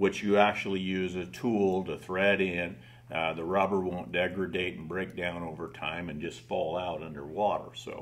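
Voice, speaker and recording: A man with a very deep, low pitch talks with hardly any pauses and fairly even intonation. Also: moderate pace. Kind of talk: interview answer. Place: studio.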